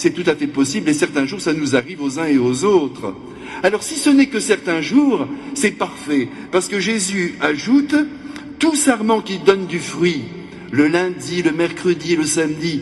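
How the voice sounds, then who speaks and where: A man's high pitch with very wide pitch swings, a fairly slow pace and noticeable background noise. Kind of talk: sermon. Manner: animated.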